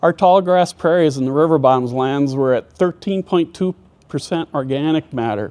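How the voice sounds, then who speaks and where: A man with an American accent, his pitch fairly high. His tone is dark and mellow, and he speaks at a moderate pace. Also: ordinary pitch variation. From US Midwest (northwest Minnesota). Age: 60s. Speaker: farmer and agronomist. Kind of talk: presentation.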